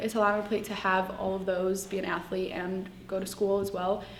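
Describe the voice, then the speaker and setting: With audible room echo and noticeable background noise, a woman talks at a moderate pace in a medium-pitched voice. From Palestine. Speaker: student athlete. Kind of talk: interview. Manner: hesitant, many fillers.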